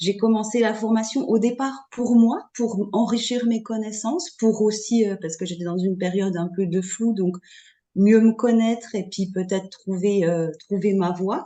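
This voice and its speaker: A woman speaks at a fairly high pitch and fairly slow pace with ordinary pitch variation. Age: 40s. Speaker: astrology student. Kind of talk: testimony. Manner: halting.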